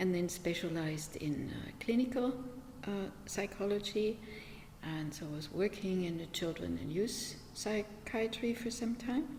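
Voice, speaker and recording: In a German accent, a woman with a medium pitch speaks at a fairly slow pace amid noticeable background noise. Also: ordinary pitch variation. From Germany, small village. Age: 70s. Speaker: meditation teacher. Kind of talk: interview. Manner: hesitant, many fillers.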